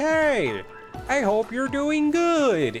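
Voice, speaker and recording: Someone uses a put-on character voice. Clear music plays in the background. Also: man, extremely high pitch for a man. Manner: warm, friendly.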